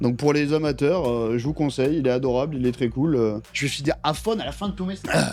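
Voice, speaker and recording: Music plays behind a man speaking in an animated tone. He talks at a fairly quick pace. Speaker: Twitch streamer doing tech tinkering. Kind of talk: live stream tutorial, casual. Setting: home streaming setup with headset and mixer. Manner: loud.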